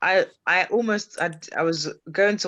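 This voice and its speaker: Someone with a British accent speaks against a quiet background. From UK. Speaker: podcast host. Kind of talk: interview.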